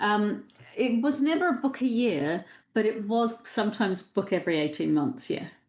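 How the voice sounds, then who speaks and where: Speaking at a moderate pace, a woman with a fairly high pitch moves through very wide pitch swings. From New Zealand. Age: 60s. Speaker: psychotherapist and writer. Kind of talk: casual interview.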